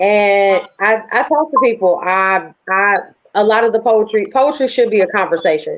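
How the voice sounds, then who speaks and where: A plain, everyday voice from a woman at medium pitch, moderate pace, and ordinary pitch variation. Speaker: spoken word poet. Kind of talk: interview.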